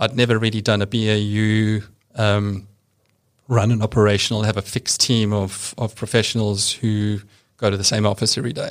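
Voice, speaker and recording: Speaking at a moderate pace in a monotone, flat intonation, a man with a South African accent has a fairly low pitch, captured in a very clean recording with a silent background. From rural South Africa. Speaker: bank compliance executive. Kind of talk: interview. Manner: matter-of-fact.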